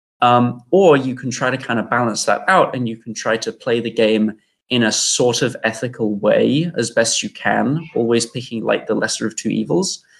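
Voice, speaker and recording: Heard in a very clean recording with a silent background, the speaker has a British accent and ordinary pitch variation. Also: man. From UK. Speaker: game developer. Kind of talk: casual chat.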